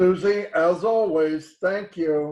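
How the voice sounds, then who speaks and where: This is a man speaking. His pitch shows ordinary variation. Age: 60s. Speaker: webinar presenter. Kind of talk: sales pitch. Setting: online webinar.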